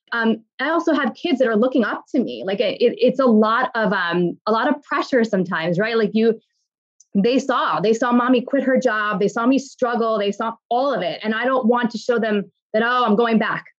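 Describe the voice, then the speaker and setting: Speaking at a moderate pace, a woman with a New York accent uses a fairly high pitch and ordinary pitch variation. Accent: New York American. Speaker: fashion influencer and brand founder. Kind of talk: interview.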